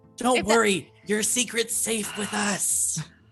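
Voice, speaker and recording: A female-sounding voice performs a put-on character at a medium pitch and a fairly slow pace. Faint music plays in the background. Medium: actual play. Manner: earnest, formal.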